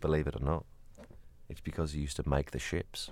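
Very fast and animated, a man speaks at a very deep, low pitch with vocal fry. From Kent, England. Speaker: podcast co-host. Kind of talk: casual banter chat. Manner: jokey, animated.

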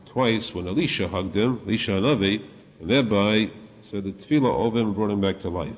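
In a natural voice, the text is read aloud.

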